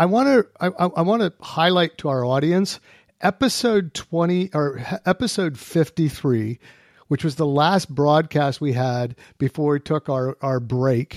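In a very clean recording with a silent background and a dry, close sound with no echo, a man with an unremarkable speaking voice talks at a fairly slow pace, his pitch fairly high and his intonation lively. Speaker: podcast host, deterrence analyst. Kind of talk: casual expert discussion.

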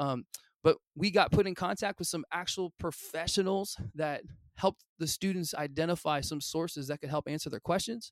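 A man with a Midwestern American accent speaks at a moderate pace in a high voice with ordinary pitch variation. The sound is dry and close, without echo. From US Midwest, Illinois. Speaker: high school history teacher. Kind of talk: interview. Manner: casual, enthusiastic.

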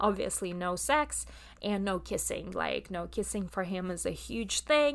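With a Russian accent, a woman talks at a fairly slow pace. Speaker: podcast host and coach. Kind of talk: solo podcast monologue. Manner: hesitant, many filler words.

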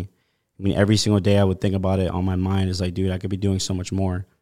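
On a very clean recording with a silent background, the words move at a fairly quick pace. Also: man. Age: 20s. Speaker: sales entrepreneur. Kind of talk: interview. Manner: casual, filler-heavy.

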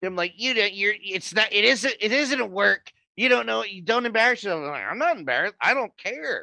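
A man's high-pitched voice is raised and projected. He moves at a fairly quick pace with hardly any pauses. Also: dry, close sound with no echo. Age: 30s. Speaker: wrestling podcast host. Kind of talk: casual chat. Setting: live stream. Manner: animated.

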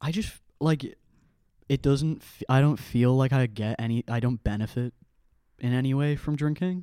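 A man with a Dublin accent, medium pitch, ordinary pitch variation, moderate pace, and long, frequent pauses. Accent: Irish (Dublin). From Ireland, near Dublin. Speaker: podcast co-host. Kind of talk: casual chat.

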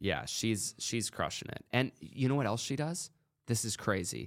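In a very clean recording with a silent background, a man with an American accent speaks at medium pitch and a moderate pace, using lively intonation and vocal fry. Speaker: podcast host. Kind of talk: casual interview chat. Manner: casual, profane.

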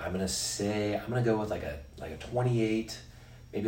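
A man with a very deep, low pitch speaks at a moderate pace, with audible room echo. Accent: Western US. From Utah. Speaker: sports podcast co-host. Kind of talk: casual chat.

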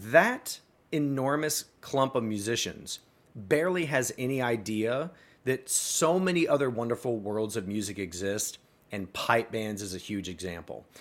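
With an American accent, a man talks in an ordinary speaking voice at medium pitch, fairly slow and with lively intonation. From US South, small-town Arkansas. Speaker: music educator and entrepreneur. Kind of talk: interview conversation.

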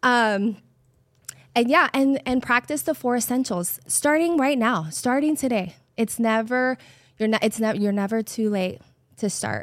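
On a very clean recording with a silent background, a woman with an American accent speaks at a fairly slow pace. Her pitch is fairly high and her intonation is lively. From New York, Brooklyn. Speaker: church staff member and Bible teacher. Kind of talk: casual chat.

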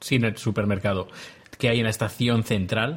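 At a moderate pace, a man speaks in a medium pitch with a somewhat breathy voice. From Spain. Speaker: podcaster. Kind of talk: casual chat. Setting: video call.

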